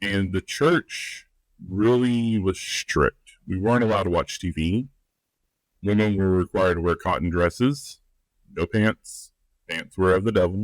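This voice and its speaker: With a Southern US accent, a man speaks at a fairly slow pace and fairly low pitch, with ordinary pitch variation. The recording is very clean, with a silent background and a dry, close sound with no echo. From US South, rural. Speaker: life and relationships coach. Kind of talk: podcast interview. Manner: conversational, with filler words.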